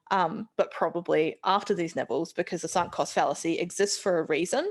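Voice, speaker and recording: A woman with a New Zealand accent talks at a moderate pace. Her pitch is fairly low, with ordinary variation. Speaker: scientist giving vote of thanks. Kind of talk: vote of thanks speech. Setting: live event with audience. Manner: casual, hesitant with fillers.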